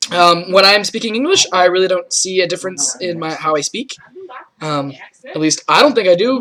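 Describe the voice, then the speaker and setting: A man talks at a fairly quick pace in a raised, projected voice. His intonation is lively. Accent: slight Rochester. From Rochester, New York, US. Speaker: student vlogger. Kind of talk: casual self-interview. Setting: indoors with friends present. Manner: hesitant, many fillers.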